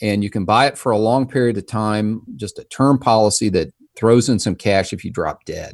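A man's plain, everyday voice, fairly low in pitch, at a moderate pace with ordinary pitch variation and hardly any pauses, in a very clean recording with a silent background. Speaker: financial advisor. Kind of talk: casual interview chat.

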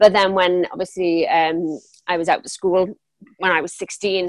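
In a Welsh accent, the speaker talks in a flat monotone at a fairly slow pace, with a dry, close sound and no echo. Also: woman. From South Wales. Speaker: business coach. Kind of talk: interview.

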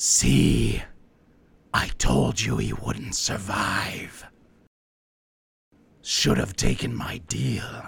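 The speaker uses a put-on character voice, very deep, low and raspy. The delivery is very slow, with long, frequent pauses. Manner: sinister, gloating.

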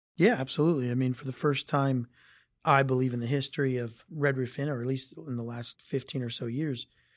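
Using a plain, everyday voice with an American accent, a man speaks at medium pitch and a moderate pace with fairly even intonation. The recording is very clean, with a silent background. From Northeast Ohio. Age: 40s. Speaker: hotel company executive. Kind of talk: interview.

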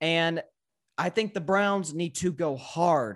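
Ordinary pitch variation marks a man with an American accent on a very clean recording with a silent background. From US South, Tennessee. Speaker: sports podcaster. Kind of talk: casual sports debate. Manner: halting, repeats words.

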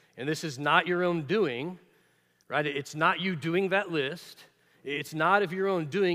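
On a very clean recording with a silent background, a man with an unremarkable speaking voice, pitched fairly high, speaks at a fairly quick pace. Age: 40s. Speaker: preacher. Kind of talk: sermon.

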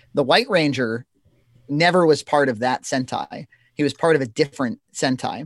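In a very clean recording with a silent background and a dry, close sound with no echo, a man with an American accent and a fairly high pitch talks at a moderate pace in a plain, everyday voice. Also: ordinary pitch variation. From Massachusetts. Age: 30s. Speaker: web series creator. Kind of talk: casual chat.

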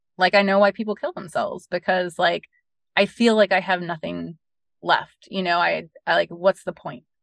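A woman with an American accent speaks at a moderate pace, her medium pitch showing vocal fry and fairly even intonation. The sound is dry and close, with no echo. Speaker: bereaved mother, charity founder. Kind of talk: interview. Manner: many fillers (um, like, you know).

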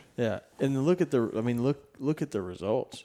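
A man's dark, mellow voice with a Southern US accent at a moderate pace. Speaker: podcast host and turkey hunter. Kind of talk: podcast intro and outro, casual chat. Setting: on location at a ranch. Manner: animated, talks with hands.

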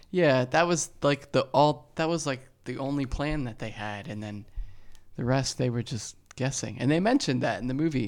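He has a plain, everyday voice. This man speaks at a moderate speed, with a medium pitch that varies in an ordinary way. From New Jersey. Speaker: podcast guest, co-host's partner. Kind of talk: casual chat. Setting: at home.

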